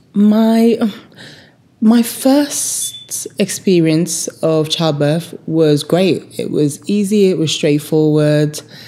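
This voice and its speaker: A woman with a London accent, fairly low pitch and lively intonation at a very slow pace, over noticeable background noise. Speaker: vlogger. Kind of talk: personal storytelling.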